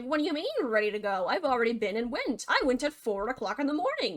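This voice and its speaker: A woman's put-on character voice, high-pitched and very fast. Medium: machinima.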